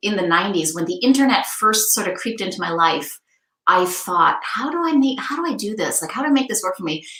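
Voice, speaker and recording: In audible room echo, a woman speaks at a fairly quick pace with a fairly high pitch and very wide pitch swings. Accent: American. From US Northeast (Maine). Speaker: podcast host. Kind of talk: casual interview.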